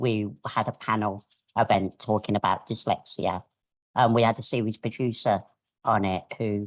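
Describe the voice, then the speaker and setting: In a Birmingham accent, the speaker goes at a fairly slow pace. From Birmingham, England. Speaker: media professional. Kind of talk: webinar panel talk. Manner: hesitant, many fillers.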